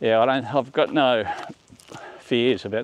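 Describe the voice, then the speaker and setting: A man talks with an Australian accent at a moderate pace. His pitch varies in an ordinary way over noticeable background noise. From Australia, Melbourne. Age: 60s. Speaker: vlogger. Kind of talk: casual vlog monologue. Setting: outdoors on a walk. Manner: halting.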